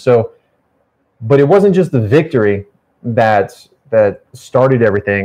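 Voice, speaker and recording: A man speaks at a medium pitch. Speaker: motivational speaker and competitive gamer. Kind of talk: casual chat. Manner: loud, boisterous.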